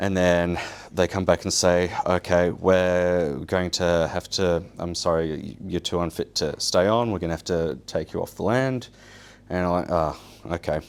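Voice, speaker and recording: A man talks at a fairly slow pace. His pitch is very deep and low, with fairly even intonation. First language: Polish. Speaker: survival show winner. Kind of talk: public talk. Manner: casual, halting with fillers.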